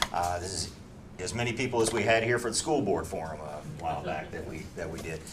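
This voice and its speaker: Noticeable background noise and audible room echo surround a man with a very deep, low pitch. He talks at a fairly quick pace with lively intonation. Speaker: library branch manager. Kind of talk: welcome remarks. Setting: library community room with live audience.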